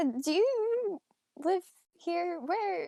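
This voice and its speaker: Squeaky female speech in a put-on character voice, pitched extremely high. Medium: actual play. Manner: stammering, hesitant.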